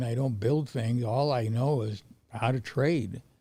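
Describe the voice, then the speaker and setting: A man speaks in a medium pitch with ordinary pitch variation. His tone is dark and mellow, and somewhat breathy. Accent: American. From Montana, US. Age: 80s+. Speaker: veteran trader. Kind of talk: interview. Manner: halting.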